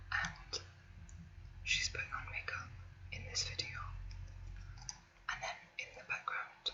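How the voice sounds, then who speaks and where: Whispering at a moderate pace, a woman is heard through noticeable background noise. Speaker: ASMR creator. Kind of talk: ASMR makeup collection chat. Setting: webcam recording at home. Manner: whispered.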